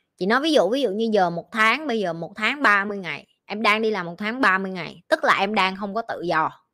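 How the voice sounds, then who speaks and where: A woman's bright, sharp, medium-pitched voice, animated and with lively intonation, at a fairly slow pace on a very clean recording with a silent background. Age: 20s. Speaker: life coach. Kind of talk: livestream Q&A.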